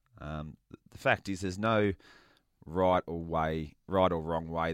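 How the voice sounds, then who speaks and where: A man speaks with an Australian accent and a very deep, low pitch at a fairly slow pace. The sound is dry and close with no echo, in a very clean recording with a silent background. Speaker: former footballer. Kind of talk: casual chat.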